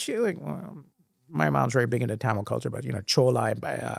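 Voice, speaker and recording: A man speaks with an American accent. The sound is dry and close with no echo. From Sri Lanka, then Singapore, US and India. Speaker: former finance executive. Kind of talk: interview. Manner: halting.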